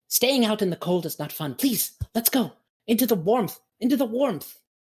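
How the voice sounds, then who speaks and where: A put-on character voice, female-sounding and fairly high in pitch, with an enthusiastic tone at a moderate pace. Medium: actual play. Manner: enthusiastic, excitable.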